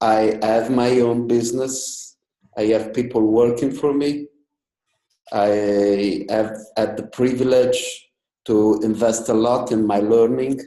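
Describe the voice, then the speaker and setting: The voice has a dark, mellow tone and monotone, flat intonation, moving at a very slow pace. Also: man, medium pitch for a man. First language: not English. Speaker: business owner, webinar participant. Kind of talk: group discussion.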